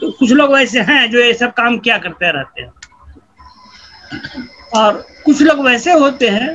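Raising and projecting his voice at an extremely high pitch, a man speaks at a fairly slow pace with long, frequent pauses and ordinary pitch variation. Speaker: retired sociology professor. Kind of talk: interview answer. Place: home room. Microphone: video call.

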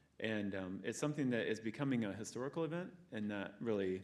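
A man talks very fast. His pitch sits fairly low. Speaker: school board president chairing meeting. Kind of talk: public meeting. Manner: loud.

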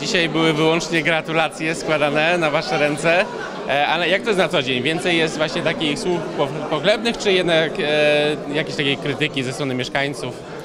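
With crowd noise behind him, a man of fairly high pitch speaks at a moderate pace with fairly even intonation. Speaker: TV reporter. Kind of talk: on-location interview. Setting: outdoors.

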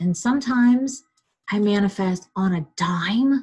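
A woman speaks at a fairly slow pace with lively intonation and a somewhat breathy voice over a quiet background. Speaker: webinar host and relationship coach. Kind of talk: guided visualization, calm coaching. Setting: video call. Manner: soothing, slow, instructive; casual, chatty.

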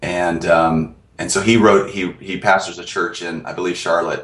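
A man speaks with a very deep, low voice and fairly even intonation. The background is quiet, with audible room echo. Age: 40s. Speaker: author and production company founder. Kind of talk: interview. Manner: halting. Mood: friendly, relaxed. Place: office. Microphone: video call.

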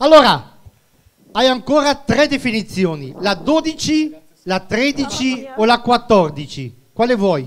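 A man at an extremely high pitch, very wide pitch swings, a very slow pace, and light background noise. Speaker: quiz game host. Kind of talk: phone-in quiz game. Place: stage. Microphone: handheld.

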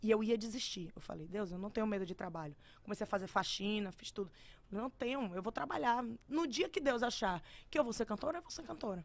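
A woman's animated, fairly high voice with lively intonation, big swings in loudness and a fairly quick pace. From Bahia, Brazil. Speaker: singer; podcast guest. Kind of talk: casual chat. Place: studio. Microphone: studio mic.

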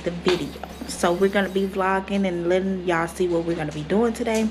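Noticeable background noise runs beneath a woman whose intonation stays fairly even. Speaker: family vlogger. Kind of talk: casual vlog chat. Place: home room. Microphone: phone near.

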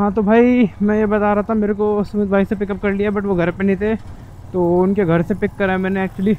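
Talking at a fairly quick pace, a man keeps a high pitch with little pitch movement.

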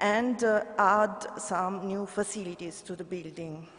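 In an Italian accent, a woman speaks at a fairly slow pace. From Italy. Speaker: government heritage official; conference presenter. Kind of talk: conference report. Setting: conference stage with audience. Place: hall. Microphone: podium.

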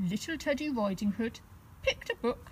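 Here is a natural reading voice. Its intonation is lively.

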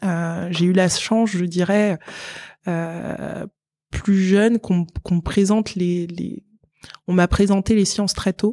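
A woman's dark, mellow, medium-pitched voice, very slow and monotone, broken by long, frequent pauses. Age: 30s. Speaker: engineer and tech entrepreneur. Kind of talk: interview. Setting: in person at her company's office. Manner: halting, many fillers and repetitions.

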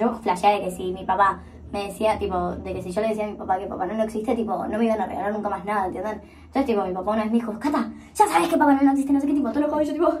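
A woman talks at a very fast pace with ordinary pitch variation. Light background noise can be heard. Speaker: beauty vlogger. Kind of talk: casual vlog chat. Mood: playful storytelling. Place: bathroom. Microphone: phone near.

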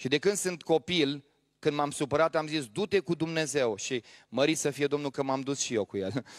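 With a quiet background, a man talks at a moderate pace in a fairly high voice with ordinary pitch variation. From Romania. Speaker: pastor. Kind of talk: sermon. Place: church. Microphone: handheld.

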